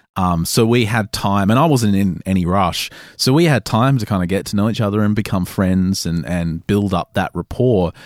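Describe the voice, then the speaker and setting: With an Australian accent, a man talks at a moderate pace in a fairly low pitch with ordinary pitch variation, recorded very clean against a silent background with a dry, close sound and no echo. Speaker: paranormal podcast producer and host. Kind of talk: interview.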